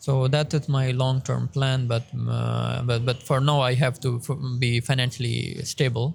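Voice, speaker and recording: At a fairly slow pace, a man speaks in a somewhat breathy, monotone, flat voice with very even loudness. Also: medium pitch for a man. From Pakistan, southern Punjab (Saraiki-speaking). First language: Saraiki. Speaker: doctoral researcher. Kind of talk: interview. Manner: halting, many self-corrections.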